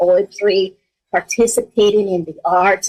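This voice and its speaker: In a dry, close sound with no echo, a woman speaks at a fairly high pitch. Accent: Spanish. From Mexico. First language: Spanish. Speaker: school superintendent. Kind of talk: interview.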